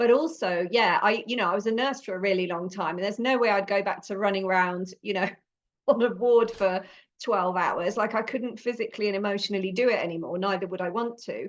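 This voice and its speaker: A woman speaks at a fairly quick pace and a medium pitch, with ordinary pitch variation over a quiet background. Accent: British. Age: 50s. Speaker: podcast host, former nurse. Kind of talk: casual interview chat.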